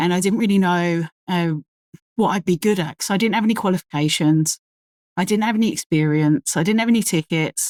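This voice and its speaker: Speaking with a strong London accent, a woman talks at a fairly quick pace with a fairly low pitch and ordinary pitch variation, in a dry, close sound with no echo. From London, England. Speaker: crane operator. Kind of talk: casual podcast interview.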